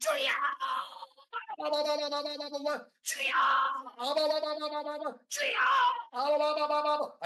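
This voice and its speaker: This is a put-on character voice, high-pitched and shouting at a moderate pace. Long, frequent pauses break it up. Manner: loud warbling yell made by patting the mouth.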